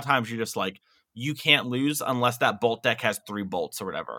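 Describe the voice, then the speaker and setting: Bright and sharp in tone, a man speaks at a very fast pace. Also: very clean recording, silent background. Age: 20s. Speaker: competitive card game player. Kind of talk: casual chat.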